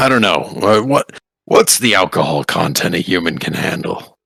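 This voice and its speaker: Putting on a character voice, a man speaks in a raspy, fairly low pitch. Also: moderate pace. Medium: actual play. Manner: dry, world-weary, blunt.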